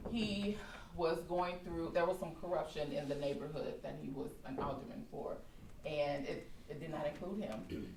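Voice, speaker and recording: In an American accent, a woman with an unremarkable speaking voice talks at a moderate pace, her fairly low pitch moving with lively intonation. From Chicago. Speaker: storyteller. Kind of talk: live personal storytelling performance. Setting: stage before live audience.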